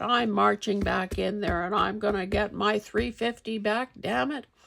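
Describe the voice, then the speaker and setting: The speaker uses a raspy, put-on character voice with a fairly high pitch at a moderate pace. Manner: cranky, indignant.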